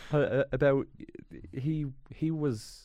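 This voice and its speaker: Here is a man with a Dublin accent. His voice is fairly high-pitched. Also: very clean recording, silent background. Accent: Dublin Irish. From Ireland, Dublin inner city. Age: 30s. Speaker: comedy actor. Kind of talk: casual chat.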